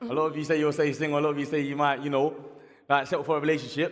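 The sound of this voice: A man talks at a very fast pace. His fairly high pitch shows little movement.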